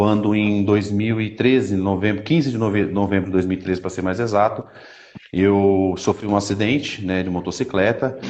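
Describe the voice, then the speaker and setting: A man talks at a moderate pace in a plain, everyday voice. His pitch is fairly low and his intonation fairly even. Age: 30s. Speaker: Paralympic athlete and speaker. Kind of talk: testimony.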